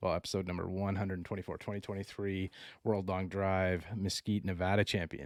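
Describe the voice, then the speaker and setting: On a very clean recording with a silent background, a man with a Canadian accent speaks at a very deep, low pitch in a monotone, flat intonation. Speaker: podcast host. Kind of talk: interview.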